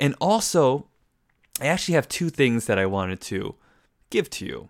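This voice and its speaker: Lively intonation and an animated tone mark this man's delivery at a moderate pace. The recording is very clean, with a silent background and a dry, close sound free of echo. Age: 30s. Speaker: podcast host. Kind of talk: monologue podcast.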